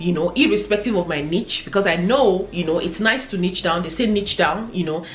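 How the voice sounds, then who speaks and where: A woman with a Nigerian accent, fairly low pitch, ordinary pitch variation and a very fast pace, plus audible room echo and background music. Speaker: fashion and lifestyle YouTuber. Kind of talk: casual vlog monologue.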